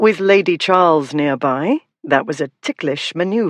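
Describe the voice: Against a quiet background, the recording is plain reading aloud.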